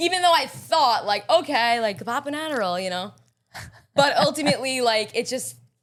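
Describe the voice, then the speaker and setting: A woman talks in a strong Long Island accent, her tone animated and her pitch swinging very widely. The recording is very clean, with a silent background. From Long Island, New York. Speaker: pastry chef and baker. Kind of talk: podcast interview.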